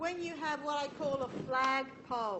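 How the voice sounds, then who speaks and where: Background noise is noticeable and room echo audible while a woman talks. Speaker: university engineering lecturer. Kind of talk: lecture.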